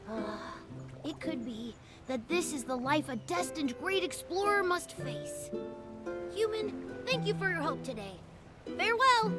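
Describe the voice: In a put-on character voice, a woman talks at an extremely high pitch with a fairly bright tone, big pitch swings, a fairly slow pace and long, frequent pauses, while faint music plays in the background.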